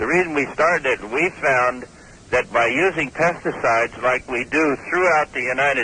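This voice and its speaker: A man talks at a moderate pace with a fairly high pitch. His pitch varies in an ordinary way, and noticeable background noise is present. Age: 70s. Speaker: snail club founder. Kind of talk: phone interview. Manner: hesitant, with fillers.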